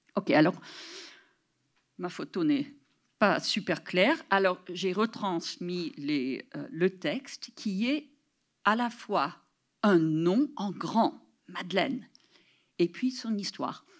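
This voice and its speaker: On a very clean recording with a silent background, a woman speaks very slowly at a medium pitch, with long, frequent pauses and very wide pitch swings. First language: English (speaking French). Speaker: professor. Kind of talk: lecture. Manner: halting.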